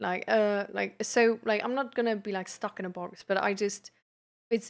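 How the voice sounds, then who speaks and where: A woman speaks, with pitch that moves by ordinary amounts. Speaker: live streamer and peer support coach. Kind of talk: casual live stream chat. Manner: hesitant, many fillers.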